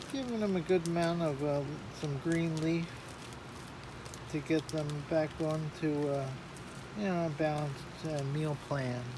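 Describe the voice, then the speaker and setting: A soft-spoken man talks at a fairly slow pace with a fairly high pitch and fairly even intonation. Noticeable background noise is present. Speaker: hobbyist gardener vlogger. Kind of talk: casual tutorial. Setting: inside a greenhouse. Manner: halting with many fillers.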